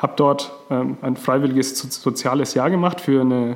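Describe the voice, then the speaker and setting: A man speaks at medium pitch. There is noticeable background noise. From Franconia, Germany. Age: 30s. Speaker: podcast co-host, transformation consultant. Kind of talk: casual podcast introduction.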